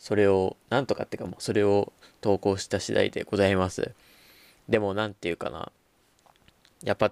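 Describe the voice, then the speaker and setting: A man with a fairly low pitch and fairly even intonation talks at a moderate pace with long, frequent pauses, in a dry, close sound with no echo. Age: young. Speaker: podcast host. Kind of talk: casual chat. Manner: halting.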